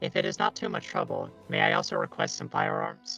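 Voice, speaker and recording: A man does a high-pitched put-on character voice at a fairly quick pace, with faint music in the background. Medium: actual play. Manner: formal, stiff.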